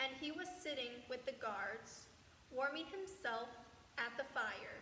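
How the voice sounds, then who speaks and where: Over noticeable background noise, a raised, projected voice carries at a fairly slow pace. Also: woman. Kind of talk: scripture narration.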